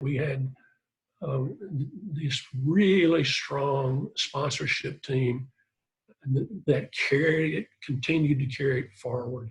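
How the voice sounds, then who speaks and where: Long, frequent pauses break up a man's very slow speech. His fairly high voice is somewhat breathy. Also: ordinary pitch variation. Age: 70s. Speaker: fitness test creator. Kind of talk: interview. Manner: halting.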